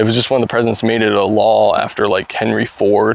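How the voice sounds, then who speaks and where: Noticeable background noise sits beneath the voice. The man talks at a fairly quick pace. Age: 20s. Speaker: YouTuber. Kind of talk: casual vlog monologue. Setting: outdoors, backyard. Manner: hesitant, many fillers.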